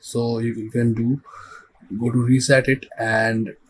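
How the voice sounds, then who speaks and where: A man at medium pitch, monotone with flat intonation. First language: not English. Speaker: visual effects tutorial creator. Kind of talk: tutorial. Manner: halting.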